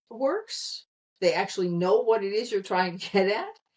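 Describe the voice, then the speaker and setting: A woman with an American accent and an ordinary speaking voice, at a moderate pace with lively intonation. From US, Pennsylvania. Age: 60s. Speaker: communication consultant. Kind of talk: podcast interview.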